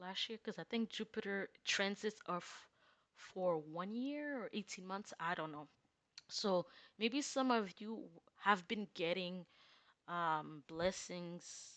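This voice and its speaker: With a non-native accent and lively intonation, a woman speaks at a very slow pace and medium pitch over a quiet background. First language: not English. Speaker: tarot reader. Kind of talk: casual tarot reading. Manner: hesitant, many fillers.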